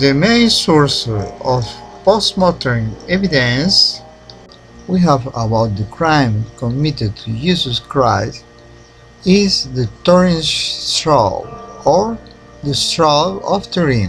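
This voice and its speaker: Over music in the background, a man with a non-native accent speaks very slowly at a fairly high pitch, his pitch swinging very widely. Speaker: independent researcher. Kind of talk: documentary narration.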